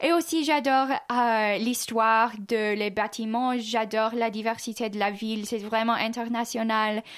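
A woman speaks at a fairly slow pace and a fairly high pitch, in an unremarkable speaking voice. The recording is very clean, with a silent background. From US Midwest, Kansas City, Missouri. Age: 20s. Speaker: exchange student. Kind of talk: radio interview.

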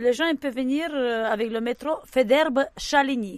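Here a woman talks with a high voice and lively intonation. Her pace is fairly slow. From Romania, Romani. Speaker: circus performer. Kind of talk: interview.

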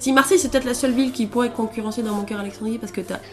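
Music plays behind a woman as she talks. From central France (Auvergne). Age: 20s. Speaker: traveller interviewee. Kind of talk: interview testimony.

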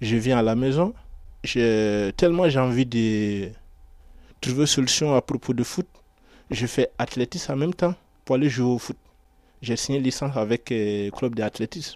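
The speech moves at a moderate pace with long, frequent pauses and ordinary pitch variation. The recording is very clean, silent in the background, with a dry, close sound and no echo. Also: man, medium pitch for a man. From Ivory Coast. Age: 20s. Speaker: aspiring footballer and construction worker. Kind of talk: radio portrait interview. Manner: halting.

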